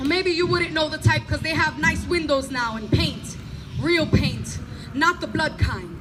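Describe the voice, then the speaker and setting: The tone is animated, broken by long, frequent pauses. Background noise is noticeable. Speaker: performance poet. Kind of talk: spoken word poetry performance. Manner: loud.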